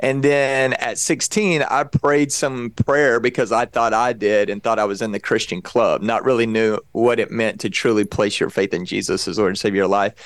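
A man with an American accent talks at a moderate pace and medium pitch, with hardly any pauses and ordinary pitch variation. The recording is very clean, with a silent background. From Texas. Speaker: pastor and evangelist. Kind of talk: casual interview.

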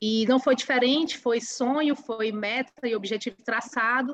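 This woman has an ordinary speaking voice and ordinary pitch variation. She talks at a moderate pace. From Ceará, northeastern Brazil (Ubajara). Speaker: agronomy researcher at an organic acerola farm. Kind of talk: interview; demonstration.

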